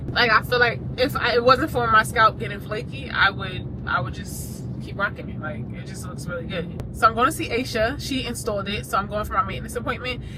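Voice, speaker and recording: A woman talks at a fairly quick pace with hardly any pauses and big swings in loudness, amid noticeable background noise and audible room echo. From rural Jamaica. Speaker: fashion and lifestyle vlogger. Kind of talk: vlog. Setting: empty gym. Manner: whispering.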